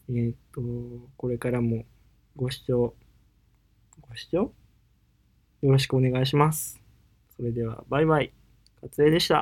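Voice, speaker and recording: A man at a medium pitch and moderate pace, with fairly even intonation, big swings in loudness and long, frequent pauses. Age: 30s. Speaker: singer-songwriter podcast host. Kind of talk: casual solo talk. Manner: halting, many fillers.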